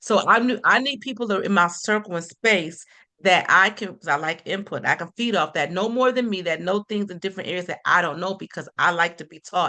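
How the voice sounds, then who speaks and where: At a fairly quick pace, a woman of medium pitch speaks in a bright, sharp, animated tone with ordinary pitch variation. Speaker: motivational speaker. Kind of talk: podcast interview. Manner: fast.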